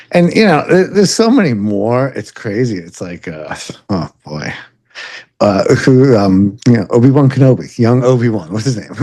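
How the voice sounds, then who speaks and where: A man with a New York accent talks at a moderate pace in a medium pitch with a dark, mellow tone, his pitch swinging very widely and his loudness swinging a lot. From Long Island, New York. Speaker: podcast co-host, bike shop worker. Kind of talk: casual chat. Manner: halting, many fillers.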